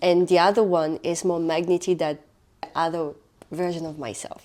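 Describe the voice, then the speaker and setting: This woman speaks at a fairly low pitch for a woman, in a French accent. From France. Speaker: podcast co-host. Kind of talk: casual chat.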